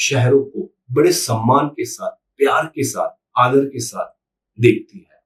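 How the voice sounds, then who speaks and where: This is a man speaking. He has a Gujarati accent. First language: Gujarati (speaking Hindi). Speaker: YouTube commentator. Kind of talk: opinion monologue to camera.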